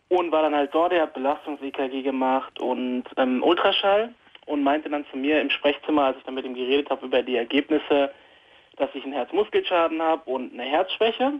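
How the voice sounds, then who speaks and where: At a moderate pace, a man speaks in an ordinary speaking voice, fairly high in pitch with ordinary pitch variation. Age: 20s. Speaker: caller with anxiety. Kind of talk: phone call-in conversation. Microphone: phone line.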